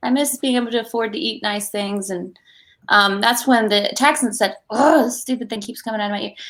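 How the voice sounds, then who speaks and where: Fairly quick speech from a woman, fairly high in pitch, with ordinary pitch variation. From Georgia (US), born in England. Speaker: actress. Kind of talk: casual interview. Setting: video call.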